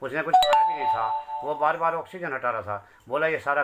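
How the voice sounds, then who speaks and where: A man is speaking here. His tone is bright and sharp. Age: 60s. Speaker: grieving father. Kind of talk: testimony. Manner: pleading.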